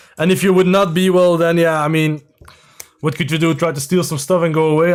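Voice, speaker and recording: A man speaks with a Flemish Belgian accent. His intonation stays fairly even. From Belgium, near Brussels (Leuven area). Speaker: LEGO builder and streamer, former TV contestant. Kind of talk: live stream chat while building. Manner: hesitant, many fillers.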